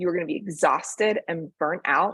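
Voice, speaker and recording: A woman speaks in a plain, everyday voice at a fairly low pitch. Her pace is moderate and her pitch varies in an ordinary way. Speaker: venture capital fundraising consultant. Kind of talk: presentation to founders.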